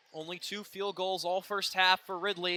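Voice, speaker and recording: A high-pitched man speaks in a raised, projected voice at a moderate pace. The recording is very clean, with a silent background. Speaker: sports play-by-play broadcaster. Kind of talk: live sports play-by-play commentary.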